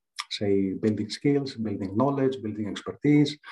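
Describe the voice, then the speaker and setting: With a Greek accent, a man of medium pitch speaks at a moderate pace. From Greece. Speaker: leadership coach. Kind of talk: interview.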